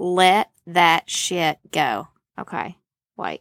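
A woman's voice has a dry, close sound with no echo, in a very clean recording with a silent background. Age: 30s. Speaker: podcast host. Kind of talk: casual monologue. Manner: animated.

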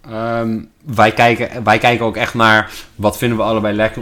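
At a moderate pace, a man talks in a medium pitch. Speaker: sales employee, host's partner. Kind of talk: casual chat. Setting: at home in quarantine. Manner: halting, many repetitions and fillers.

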